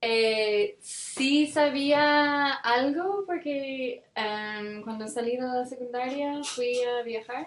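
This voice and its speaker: A woman speaks at a high pitch and a very slow pace, with ordinary pitch variation. She leaves hardly any pauses. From Ireland, Cork. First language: English (speaking Spanish). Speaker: development worker. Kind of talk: interview. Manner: hesitant, many fillers.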